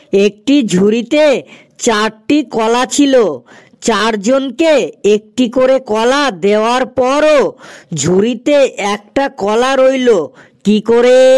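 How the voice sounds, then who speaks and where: In a cartoonish character voice, someone speaks very slowly at a fairly high pitch. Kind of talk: cartoon riddle show. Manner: playful, rhythmic riddling.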